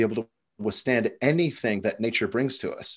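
This man has a plain, everyday voice at medium pitch with ordinary pitch variation. He speaks at a moderate pace against a quiet background. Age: 30s. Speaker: former cage fighter and coach. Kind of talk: casual chat.

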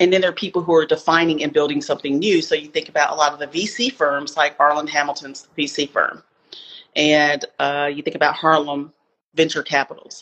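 With an American accent, a woman talks at a fairly quick pace, her very deep, low voice keeping a fairly even intonation. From US South, Spartanburg, South Carolina. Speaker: author and equity consultant. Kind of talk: interview.

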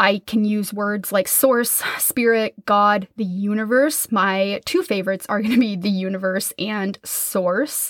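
With an American accent and a medium pitch, a woman speaks at a fairly slow pace with fairly even intonation and hardly any pauses, in a dry, close sound with no echo. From US Midwest, Minnesota. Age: 30s. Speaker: podcast host and business coach. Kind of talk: solo podcast monologue.

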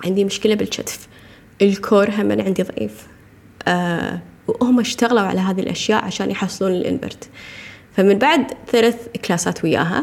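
This woman speaks at a moderate pace with a medium pitch and ordinary pitch variation. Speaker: podcast host, nutrition coach. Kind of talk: casual monologue.

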